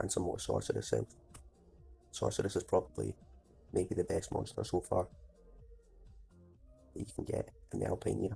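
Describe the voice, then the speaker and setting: Music plays in the background. A man speaks with long, frequent pauses. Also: fairly quick pace. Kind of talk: casual gameplay commentary.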